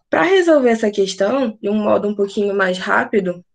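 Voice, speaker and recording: A woman's fairly high voice, an ordinary speaking voice, with ordinary pitch variation at a moderate pace. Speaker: math tutor. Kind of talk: online class.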